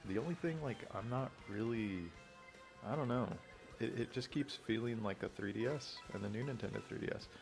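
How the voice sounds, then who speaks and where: A man whispers over music in the background. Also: moderate pace. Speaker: gaming youtuber. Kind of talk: casual chat. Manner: whispering; rambling, hesitant.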